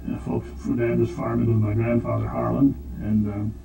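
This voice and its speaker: Through noticeable background noise, a man with an American accent speaks at a fairly quick pace. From US Midwest (South Dakota). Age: 80s+. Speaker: retired farmer recalling childhood. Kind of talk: oral history interview. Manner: halting, many fillers.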